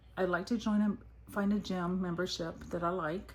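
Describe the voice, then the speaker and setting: With an American accent, a woman at medium pitch talks at a moderate pace in a somewhat breathy voice with fairly even intonation. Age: 50s. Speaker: budgeting vlogger. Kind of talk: casual vlog talk. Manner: whispering.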